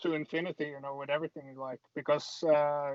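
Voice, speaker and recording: This voice has a Norwegian accent and a monotone, flat intonation. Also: man. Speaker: MMA fighter. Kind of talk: interview. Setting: video call from a parked car. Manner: halting.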